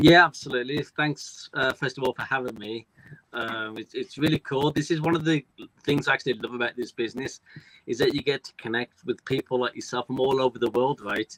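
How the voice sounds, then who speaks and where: Talking at a fairly quick pace, a man with a British accent keeps his intonation fairly even. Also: medium pitch for a man. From United Kingdom. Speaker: front desk worker and online entrepreneur. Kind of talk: interview. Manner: casual, many fillers.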